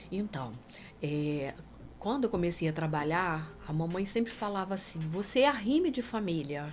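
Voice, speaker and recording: Her pitch sits fairly low and swings very widely. The woman keeps a moderate pace. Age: 60s. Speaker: singer and songwriter. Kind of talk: casual chat.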